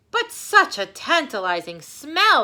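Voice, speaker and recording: Using a put-on character voice, a woman speaks at a fairly slow pace and an extremely high pitch. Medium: read story.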